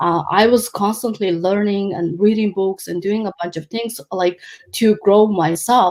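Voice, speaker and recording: Speaking with a Mongolian accent, a woman talks at a moderate pace and medium pitch with ordinary pitch variation. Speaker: life coach. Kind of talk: interview. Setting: live video stream. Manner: halting, many fillers.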